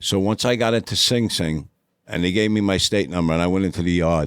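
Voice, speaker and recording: With a New York accent and ordinary pitch variation, the voice sounds dry and close with no echo, on a very clean recording against a silent background. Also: man. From New York City, Upper East Side (Yorkville). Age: 60s. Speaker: former prisoner telling life story. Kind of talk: interview testimony.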